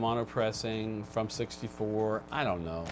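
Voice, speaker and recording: This man has a plain, everyday voice, pitched in the medium range and moving at a moderate pace. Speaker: vinyl record show co-host. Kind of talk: casual chat. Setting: live video stream.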